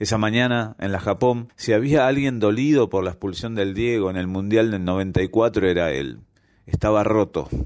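A man speaks in a normal speaking voice, fairly low in pitch with ordinary pitch variation. The recording is very clean, with a silent background. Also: moderate pace. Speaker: amateur writer, listener contributor. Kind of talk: reading aloud his own short story.

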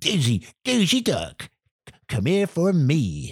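A put-on character voice from a man, pitched fairly high.

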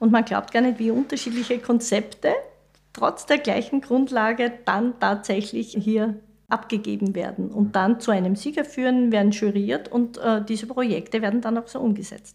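This woman talks at a moderate pace, her voice somewhat breathy, fairly high in pitch and fairly even in intonation. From Austria, Styria (Mariazell). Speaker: civil engineer, head of school building division. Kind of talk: podcast interview.

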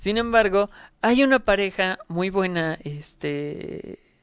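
Woman with a Mexican accent, medium pitch, dry, close sound with no echo. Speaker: podcast co-host. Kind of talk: casual chat.

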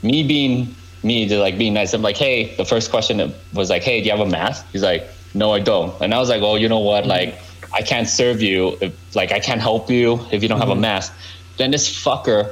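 A man talks fairly quickly, with noticeable background noise around him. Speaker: podcast guest, cell phone store worker. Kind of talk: casual chat.

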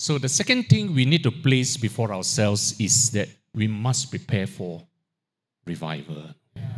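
Vocal fry from a man at medium pitch, with very wide pitch swings. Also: moderate pace. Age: 60s. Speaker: guest preacher. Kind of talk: sermon. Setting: church.

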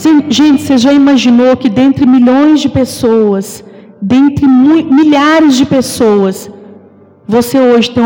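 A woman's high voice at a fairly slow pace, with ordinary pitch variation and noticeable background noise. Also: very even loudness. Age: 30s. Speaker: preacher. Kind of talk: sermon.

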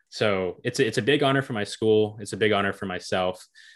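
This man talks at a moderate pace with an American accent. His pitch variation is ordinary, and the background is quiet. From North Carolina, Hickory. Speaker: student documentary filmmaker. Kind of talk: interview. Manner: hesitant, many fillers.

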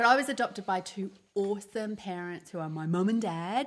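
Over a very clean recording with a silent background, a woman with an Australian accent talks at medium pitch and a fairly quick pace. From Melbourne, Australia. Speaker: podcast co-host. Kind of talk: casual chat.

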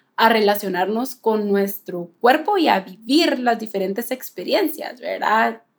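Her pace fairly slow, a woman speaks with lively intonation at a fairly high pitch. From Guatemala. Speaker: nutritionist podcast co-host. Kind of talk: casual chat. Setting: remote call across two countries.

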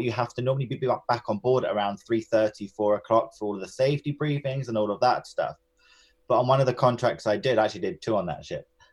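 Someone with a London accent speaks at a fairly quick pace. The intonation stays fairly even. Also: man. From North London, England. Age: 30s. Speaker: cruise ship entertainment director and former dancer. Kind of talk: interview. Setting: remote call.

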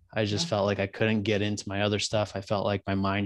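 Recorded very cleanly with a silent background and a dry, close sound free of echo, a man with an American accent speaks very fast in a fairly low, monotone, flat voice. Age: 20s. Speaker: podcaster. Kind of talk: casual interview chat.

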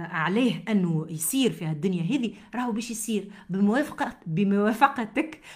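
A woman with a Tunisian accent speaks at a moderate pace, somewhat breathy and with lively intonation. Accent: Tunisian Arabic with French code-switching. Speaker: podcast host, motivational speaker and author. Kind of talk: motivational monologue.

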